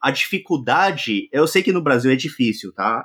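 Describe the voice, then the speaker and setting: Vocal fry marks this man's voice as he speaks at a moderate pace. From Brazil, interior of Minas Gerais. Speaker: tech YouTuber living in Japan. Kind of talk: casual chat.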